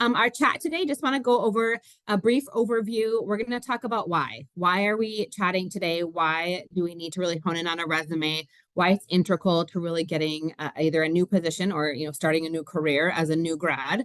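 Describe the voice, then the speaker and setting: Fairly quick speech with hardly any pauses from a woman with a Minnesotan accent, fairly low in pitch and lively in intonation. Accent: Minnesota. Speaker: recruiter. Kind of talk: webinar presentation. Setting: video call webinar. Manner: many filler words.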